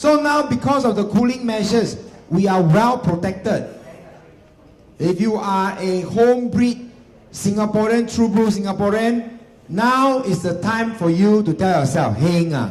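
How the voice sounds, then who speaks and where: Audible room echo, ordinary pitch variation and a fairly slow pace. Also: man, high pitch for a man. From Singapore. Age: 40s. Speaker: real estate agency executive. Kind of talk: seminar talk. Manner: animated.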